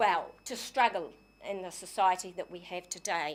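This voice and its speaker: The speaker is a woman. She has a New Zealand accent. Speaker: community society secretary making a submission. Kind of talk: public submission to council. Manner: halting, many fillers; forceful.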